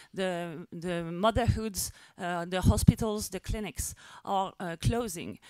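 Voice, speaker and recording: In a very clean recording with a silent background, a woman with a French accent speaks in a dark, mellow tone, the sound dry and close with no echo. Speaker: activist. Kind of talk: press conference speech. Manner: halting.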